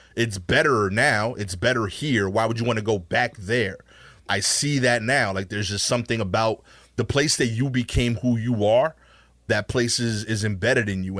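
A man with an American accent and an unremarkable speaking voice, medium pitch, fairly even intonation, moderate pace, on a very clean recording with a silent background. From Brooklyn, New York. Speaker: stand-up comedian. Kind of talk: casual interview chat with storytelling.

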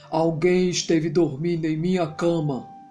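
A man speaks loudly in a put-on character voice with a high pitch. He keeps a moderate pace over clear music in the background. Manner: roaring.

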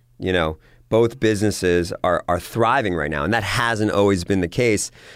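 On a very clean recording with a silent background, a man with an ordinary speaking voice talks at a moderate pace and fairly low pitch, varying it in an ordinary way. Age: 40s. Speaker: entrepreneur. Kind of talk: interview.

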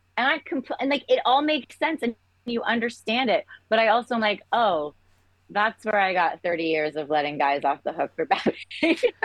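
A woman's fairly high voice with vocal fry and an American accent, fairly quick, with very wide pitch swings, in a dry, close sound with no echo. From England until about 10, then US. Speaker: entertainment executive. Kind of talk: casual chat.

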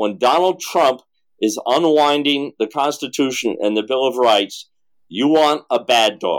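A man's fairly high-pitched, normal speaking voice at a fairly slow pace with lively intonation, on a very clean recording with a silent background. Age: 60s. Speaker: presidential candidate. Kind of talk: casual interview.

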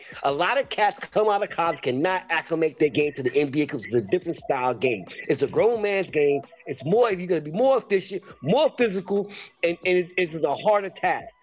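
With noticeable background noise, a man speaks at a fairly quick pace in a high pitch with lively intonation. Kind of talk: heated debate. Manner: emphatic, insistent, impassioned.

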